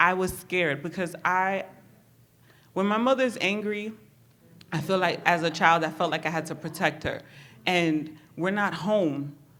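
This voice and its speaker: With audible room echo around her, a woman talks at a moderate pace with ordinary pitch variation. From New York City (Bronx), Honduran Garifuna family. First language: Spanish. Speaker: therapist. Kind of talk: personal testimony. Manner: casual, many fillers.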